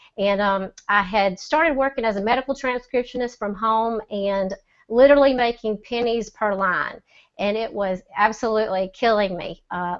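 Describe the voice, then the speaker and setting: A woman's fairly high voice in a Southern accent. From US South, Mississippi. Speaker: e-commerce seller. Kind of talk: testimony. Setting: video call.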